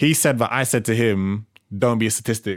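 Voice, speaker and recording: In a London accent, a man talks at a fairly low pitch with fairly even intonation on a very clean recording with a silent background. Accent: London multicultural English. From Jamaican heritage, London. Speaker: podcast co-host. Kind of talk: casual chat.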